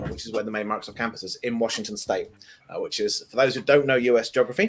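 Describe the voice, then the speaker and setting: Here a man speaks with an English accent at a medium pitch. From southern England. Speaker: tech developer advocate. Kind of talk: casual chat.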